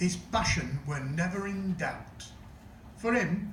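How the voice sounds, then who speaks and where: Through noticeable background noise, a man with a Sheffield accent speaks fairly slowly at a high pitch with ordinary pitch variation. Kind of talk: comic verse monologue performance.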